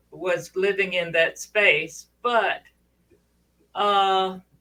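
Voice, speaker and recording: Her tone is bright and sharp, and her pitch sits at a medium level for a woman. She speaks at a very slow pace with ordinary pitch variation. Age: 70s. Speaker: panelist on women's talk webinar. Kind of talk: casual chat. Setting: studio. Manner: halting.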